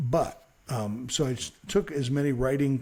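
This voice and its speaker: A man's medium-pitched voice with a dark, mellow tone and some breathiness. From Chicago, South Side. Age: 60s. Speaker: radio news reporter. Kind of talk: interview. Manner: halting.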